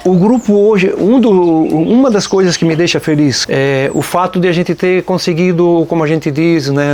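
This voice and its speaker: High-pitched male voice with lively intonation at a moderate pace, over noticeable background noise. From Nova Trento, Santa Catarina, southern Brazil. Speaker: folk music group member, singer. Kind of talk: documentary interview. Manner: informal, frequent filler 'né'.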